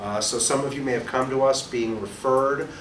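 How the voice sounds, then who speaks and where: A man with a New York accent and a medium pitch at a very fast pace, with audible room echo and noticeable background noise. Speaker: real estate instructor and broker. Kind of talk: orientation presentation to a small audience. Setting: small room with live audience, recorded for webcast. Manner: loud.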